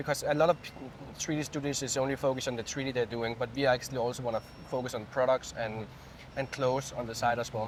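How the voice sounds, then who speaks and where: A man's medium-pitched voice at a very fast pace, intonation fairly even. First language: not English. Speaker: studio co-founder and CEO. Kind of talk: casual interview. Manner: halting.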